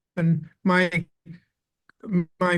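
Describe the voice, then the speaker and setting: This man's voice sits high in pitch. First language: Spanish. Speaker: author. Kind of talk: interview, personal storytelling. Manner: halting, repeats words; animated.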